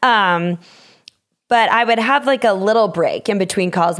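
On a very clean recording with a silent background, a woman with an American accent speaks at a moderate pace in an unremarkable speaking voice with ordinary pitch variation. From Minnesota. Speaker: podcast host. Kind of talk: interview.

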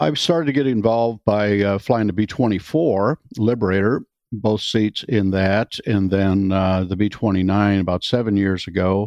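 With an American accent and a normal speaking voice, a man talks at a fairly slow pace in a fairly low pitch. His pitch variation is ordinary, his loudness very even, and there are hardly any pauses. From US Midwest, Wisconsin. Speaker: retired airline pilot and vintage bomber pilot. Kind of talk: interview.

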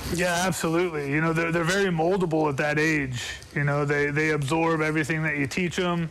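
A man with a fairly high pitch talks fairly quickly in a flat monotone at very even loudness, with audible room echo and noticeable background noise. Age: 40s. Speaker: former football player and coach. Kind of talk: radio sports interview.

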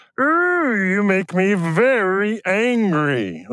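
The speaker performs a put-on character voice at a middle pitch. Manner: angry, cartoonish.

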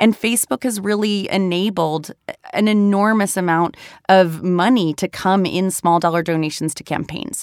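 A plain, everyday voice moves at a moderate pace with ordinary pitch variation in a very clean recording with a silent background. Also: woman, medium pitch for a woman. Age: 30s. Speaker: founder of a digital political nonprofit. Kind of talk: interview.

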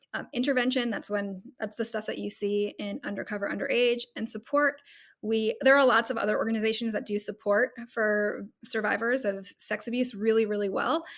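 In an ordinary speaking voice, a woman with a fairly high pitch talks at a moderate pace with fairly even intonation. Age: 40s. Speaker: non-profit founder. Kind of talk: casual chat.

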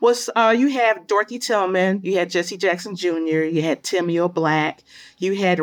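On a very clean recording with a silent background, a woman with an American accent and an ordinary speaking voice talks at a fairly slow pace and a fairly low pitch with ordinary pitch variation. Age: 50s. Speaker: historian. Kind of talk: interview.

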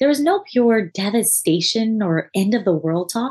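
The woman's speech has a moderate tempo. Her intonation moves in a lively manner. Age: 30s. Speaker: podcast host and attorney. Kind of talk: solo podcast monologue.

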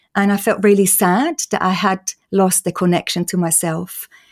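Speaking in an Austrian accent at a moderate pace, a woman keeps a medium pitch and fairly even intonation on a very clean recording with a silent background. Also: dry, close sound with no echo. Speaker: patient advocate. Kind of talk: interview.

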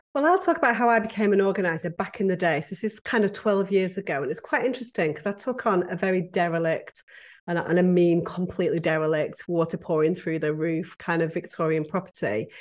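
With a British accent, a woman speaks at a very fast pace with hardly any pauses, using a medium pitch and ordinary pitch variation over a quiet background. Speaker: podcast guest, professional organizer. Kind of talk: conversational, storytelling.

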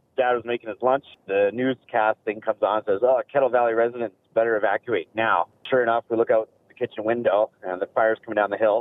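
Here a man speaks at a very fast pace in a Canadian accent. His pitch is medium and his intonation fairly even. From Kelowna, British Columbia. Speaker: radio caller. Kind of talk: storytelling. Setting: phone call.

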